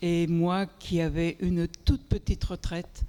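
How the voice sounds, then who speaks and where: Her pitch runs fairly low. This woman has a dark, mellow tone. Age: 70s. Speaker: community food project member. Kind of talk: panel discussion testimony.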